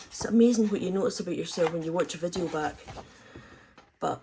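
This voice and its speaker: A woman speaks with a Scottish accent over noticeable background noise. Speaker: crafting YouTuber. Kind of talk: craft tutorial. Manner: fast, talks in bursts on one breath; casual, many filler ums.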